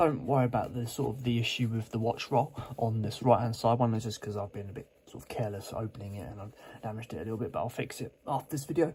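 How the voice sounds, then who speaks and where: With a dark, mellow tone, a man talks at a very fast pace with hardly any pauses, sounding somewhat breathy, his loudness swinging widely. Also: medium pitch for a man, ordinary pitch variation. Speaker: watch reviewer. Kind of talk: product unboxing review. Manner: casual, hesitant with fillers.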